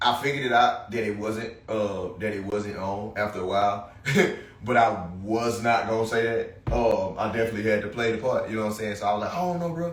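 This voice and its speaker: Amid noticeable background noise and audible room echo, a man talks fairly quickly at a medium pitch with ordinary pitch variation. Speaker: podcast host. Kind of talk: casual solo podcast monologue. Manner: loud; halting, many fillers.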